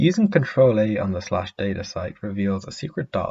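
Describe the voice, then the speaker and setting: Somewhat breathy, a man speaks with a fairly low pitch. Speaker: gaming video creator. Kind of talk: explainer narration.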